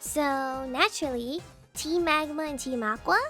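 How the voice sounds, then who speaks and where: Music plays in the background as a woman talks at a moderate pace. Her voice is high, with an upbeat, playful tone. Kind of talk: casual gaming commentary.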